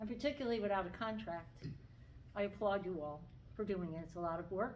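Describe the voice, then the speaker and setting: There is audible room echo around a woman's medium-pitched voice. She speaks at a fairly quick pace. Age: 60s. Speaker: school aide. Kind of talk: public comment at school board meeting. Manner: seated while speaking.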